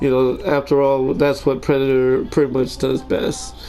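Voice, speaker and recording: A man speaks fairly slowly while noticeable background noise runs behind him. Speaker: gaming tutorial creator. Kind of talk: game tutorial commentary. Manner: casual, hesitant with fillers.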